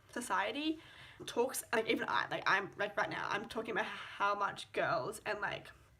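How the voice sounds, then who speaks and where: A woman's animated voice with lively intonation at a moderate pace, over noticeable background noise. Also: medium pitch for a woman. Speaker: vlogger. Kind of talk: casual rant to camera. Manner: animated, filler-heavy.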